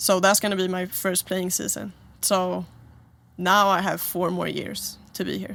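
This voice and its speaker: A woman speaks at a fairly slow pace with a Swedish accent. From Sweden, Stockholm. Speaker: college basketball player. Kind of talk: interview. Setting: in a trailer.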